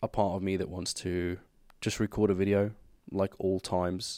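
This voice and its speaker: A man speaks at a moderate pace in a fairly low pitch with a dark, mellow tone. The recording is very clean, with a silent background. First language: not English. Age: 20s. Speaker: podcast host. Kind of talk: casual chat.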